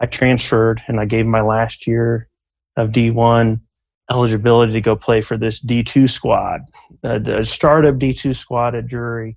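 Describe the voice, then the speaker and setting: With an American accent, a man speaks at a medium pitch and a fairly slow pace in a monotone, flat intonation. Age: 30s. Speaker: former baseball player, league founder. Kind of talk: interview, personal storytelling.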